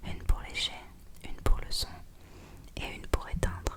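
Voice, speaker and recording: Noticeable background noise fills the clip. Through it, a woman whispers. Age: 20s. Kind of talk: whispered novel reading. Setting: home studio. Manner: whispered.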